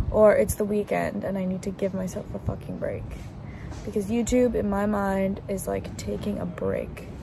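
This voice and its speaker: A woman with an American accent at a moderate pace, in a dry sound with no echo and noticeable background noise. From California. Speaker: vlogger. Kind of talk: casual video diary. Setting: self-recorded on the go. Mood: reflective, candid.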